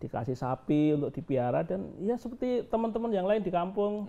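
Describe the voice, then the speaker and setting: A man's dark, mellow tone at a moderate pace, with very wide pitch swings. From Gunung Kidul, Yogyakarta, Indonesia; Yogyakarta, Indonesia. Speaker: education foundation head and businessman; interviewee. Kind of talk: interview. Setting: on location at his foundation. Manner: halting, many fillers. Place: home room.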